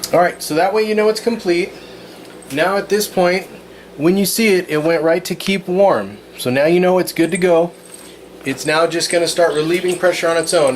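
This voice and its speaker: At a fairly quick pace, a voice with ordinary pitch variation comes through noticeable background noise. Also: man. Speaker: cooking channel host. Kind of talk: cooking tutorial. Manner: fast.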